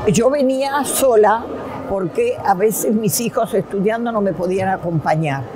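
A woman's lively intonation at a fairly slow pace, with noticeable background noise. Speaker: festival-goer. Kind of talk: interview testimony. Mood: warm, nostalgic. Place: studio.

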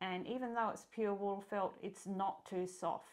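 A woman speaks with an Australian accent and fairly even intonation. The background is quiet. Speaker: sewing pattern designer and illustrator. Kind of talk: tutorial. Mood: warm, relaxed.

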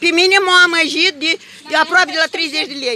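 A woman's raised, projected voice, extremely high in pitch, in a dry sound with no echo and light background noise. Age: 60s. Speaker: pensioner. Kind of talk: heated argument; agitated complaint to staff and camera. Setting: in a shop. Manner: animated. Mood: indignant, arguing. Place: shop. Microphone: phone near.

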